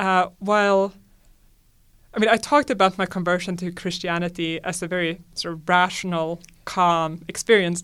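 A woman with a Swedish accent speaks at a moderate pace in a very clean recording with a silent background. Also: medium pitch for a woman, fairly even intonation. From Sweden. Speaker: astronomy professor. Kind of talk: interview.

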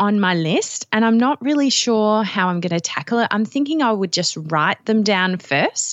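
A woman with an Australian accent speaks at medium pitch and a moderate pace. Her pitch swings very wide. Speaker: digital scrapbooking teacher. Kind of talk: casual chat.

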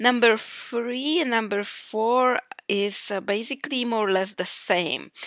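A fairly high-pitched woman with a Polish accent, at a very slow pace with ordinary pitch variation, in a very clean recording with a silent background. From Poland. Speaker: podcast host. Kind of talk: motivational monologue.

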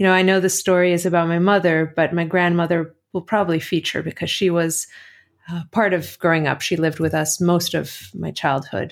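A woman's fairly low-pitched, monotone, flat delivery on a very clean recording with a silent background. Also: fairly quick pace. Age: 30s. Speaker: epidemiologist. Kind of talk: interview.

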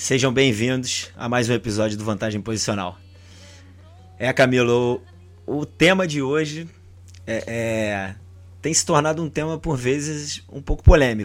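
A man talks at a fairly slow pace and medium pitch, with ordinary pitch variation and long, frequent pauses. The recording is very clean, with a silent background. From Brazil. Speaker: football podcast host. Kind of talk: casual chat.

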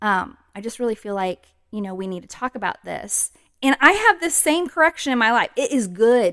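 Her pitch is high for a woman and swings very widely as she speaks. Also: big swings in loudness, dry, close sound with no echo. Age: 40s. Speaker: podcast co-host. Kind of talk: casual chat.

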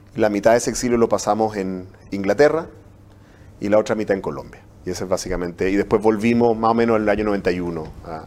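With ordinary pitch variation and a fairly low pitch, a man speaks at a very fast pace. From Chile. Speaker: university professor. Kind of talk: interview. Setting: studio. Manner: halting.

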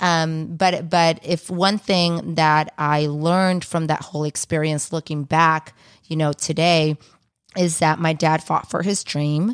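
A woman with a very deep, low pitch speaks at a fairly slow pace in a monotone, flat intonation. Her voice sounds dry and close with no echo, on a very clean recording with a silent background. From Ecuador. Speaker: radio morning show co-host and actress. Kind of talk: casual chat. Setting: studio.

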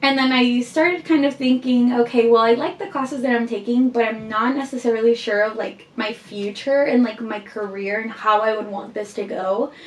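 Over noticeable background noise, a woman with a fairly high voice talks at a moderate pace, her pitch varying in an ordinary way. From Guatemala. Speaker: student society officer. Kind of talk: casual chat.

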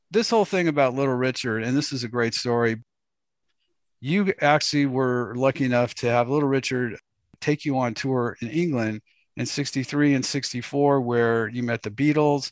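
A man talks in a normal speaking voice with an American accent at a moderate pace. The background is quiet. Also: medium pitch for a man, ordinary pitch variation. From Los Angeles. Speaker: podcast host. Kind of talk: interview.

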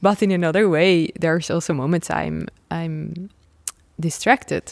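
Speaking with a Dutch accent, a woman goes at a fairly slow pace with long, frequent pauses, in a dry, close sound with no echo. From Netherlands, Nijmegen. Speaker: trapeze artist. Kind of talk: interview. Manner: animated; halting.

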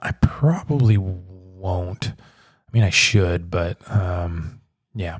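This man's voice comes across as somewhat breathy. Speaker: podcast host. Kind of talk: casual solo monologue. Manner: casual, laughing, many fillers.

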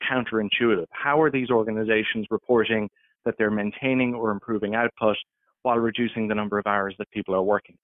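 Speech pours out very fast from a man with an Irish accent. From Ireland. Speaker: workplace policy expert. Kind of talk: interview.

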